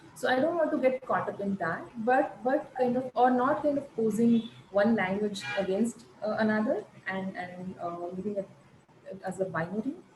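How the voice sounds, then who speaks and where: A woman with a fairly high pitch and lively intonation speaks at a moderate pace amid noticeable background noise. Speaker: arts researcher and journal editor. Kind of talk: online panel conversation. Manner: halting, many fillers.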